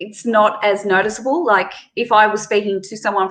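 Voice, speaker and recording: Fairly even intonation marks this woman's speech in an Australian accent. Her tone is bright and sharp, at medium pitch. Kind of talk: casual chat. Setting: live stream video call.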